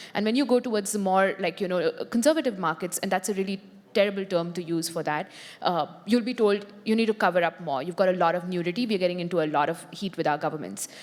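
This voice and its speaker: A woman with an Indian accent, talking at a very fast pace. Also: medium pitch for a woman, ordinary pitch variation. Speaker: tech company policy executive. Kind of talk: panel discussion.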